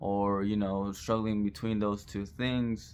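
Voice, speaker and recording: At a fairly slow pace, a man speaks in a fairly low voice. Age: 20s. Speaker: vlogger and restaurant busser. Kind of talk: personal vlog monologue. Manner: halting, many fillers.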